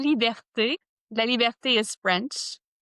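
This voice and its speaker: A woman with a normal speaking voice talks at a fairly slow pace with ordinary pitch variation, in a dry, close sound with no echo. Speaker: self-awareness coach and author. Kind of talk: podcast interview.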